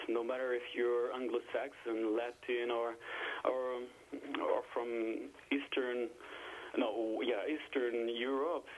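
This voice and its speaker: In a French accent, a man speaks at medium pitch and a fairly slow pace. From France. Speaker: caller. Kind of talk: call-in discussion. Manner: halting.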